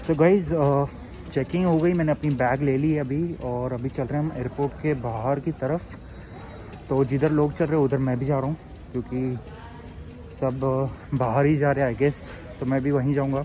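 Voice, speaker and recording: With noticeable background noise around him, a fairly high-pitched man keeps his intonation fairly even at a moderate pace. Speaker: travel vlogger. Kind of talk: casual vlog narration. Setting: airport. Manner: soft-spoken, speaking quietly.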